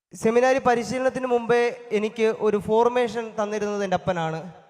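This man's high-pitched voice moves with fairly even intonation. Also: very even loudness. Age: 20s. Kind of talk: thanksgiving speech at first Mass. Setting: church.

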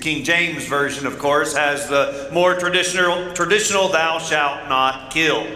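A man projects a raised voice at a moderate pace, with audible room echo. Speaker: pastor. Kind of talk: sermon. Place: church.

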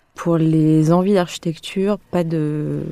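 Speaking very slowly, a woman has a very deep, low pitch, a dark, mellow tone and monotone, flat intonation. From Lyon, France. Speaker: architect. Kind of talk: interview. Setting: around a table.

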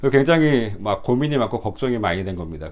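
With a medium pitch, a man delivers his words at a moderate pace. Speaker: pastor. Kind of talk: testimony. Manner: hesitant fillers.

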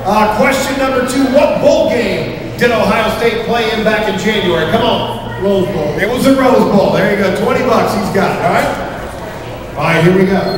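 Amid noticeable background noise and strong room echo, a high-pitched man speaks at a moderate pace with ordinary pitch variation and hardly any pauses. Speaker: quiz host. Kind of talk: game show hosting. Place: bar.

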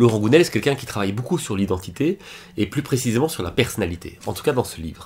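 A man talks at a very fast pace with lively intonation and a somewhat breathy voice. Light background noise can be heard. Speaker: book reviewer and life coach; book reviewer. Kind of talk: book summary video. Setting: recording at computer. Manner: casual, self-correcting. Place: home room.

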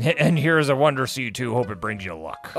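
A man puts on a raspy character voice at medium pitch. He talks at a fairly quick pace over music in the background. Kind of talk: weird pirate voice.

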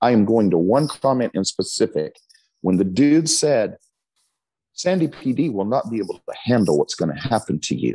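A man speaks with an American accent at a moderate pace. His tone is dark and mellow, and his pitch swings very widely. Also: quiet background. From Texas. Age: 50s. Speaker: pastor. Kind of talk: interview. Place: church. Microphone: earbuds.

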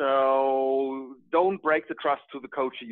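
Speaking with a German accent and fairly even intonation, a man is recorded with a dry sound with no echo and a quiet background. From Germany. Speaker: project manager and hobby agile coach; hobby agile coach. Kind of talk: group discussion. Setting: video call. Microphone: video call.

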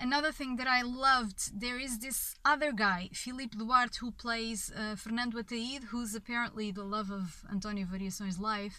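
A woman with a fairly high pitch and a bright, sharp tone speaks at a moderate pace with hardly any pauses and ordinary pitch variation, the sound dry with no echo. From Portugal. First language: Portuguese. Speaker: film reviewer. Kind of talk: video review monologue. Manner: halting, many fillers. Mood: enthusiastic, reflective. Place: car. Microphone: phone near.

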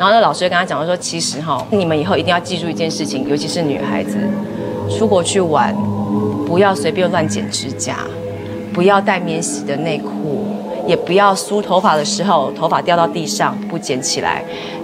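With music in the background, a woman speaks at a moderate pace. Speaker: talk show guest. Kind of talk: storytelling on a TV talk show. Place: studio. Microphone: lapel.

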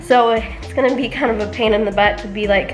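Clear music sits in the background behind speech with ordinary pitch variation. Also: woman. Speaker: vlogger. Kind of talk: casual vlog chat. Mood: upbeat, excited to go home. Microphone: phone near.

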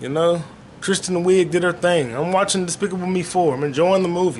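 Over light background noise, a man talks at a moderate pace in an animated tone with a high pitch. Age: 30s. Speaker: podcast host; solo podcast host. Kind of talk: solo casual monologue. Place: home room. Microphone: webcam.

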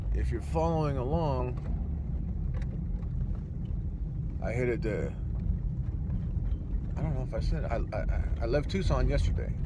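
A man at a moderate pace, loud background noise behind him, the sound dry with no echo. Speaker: van-living vlogger. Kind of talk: casual vlog chat. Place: car. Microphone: phone near.

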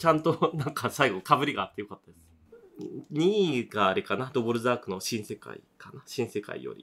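Barely pausing, a man speaks in a bright, sharp tone with very wide pitch swings and big swings in loudness. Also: medium pitch for a man, moderate pace. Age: 40s. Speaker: podcast host and bar owner. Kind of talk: casual chat.

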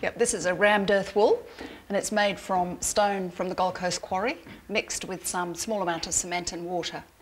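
Light background noise sits behind a woman's voice. She keeps a moderate pace and fairly even intonation. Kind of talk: interview answer. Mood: proud, friendly. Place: home room. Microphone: lapel.

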